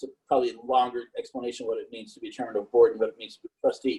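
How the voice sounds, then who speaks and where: A man speaks at a very fast pace. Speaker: media executive. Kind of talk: panel discussion.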